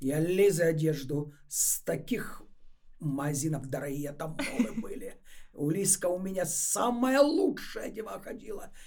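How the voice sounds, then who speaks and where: A woman's fairly low, dark and mellow voice at a fairly slow pace, with very wide pitch swings, big swings in loudness and audible room echo. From Ukraine. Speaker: retired fashion entrepreneur. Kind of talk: casual interview. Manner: animated.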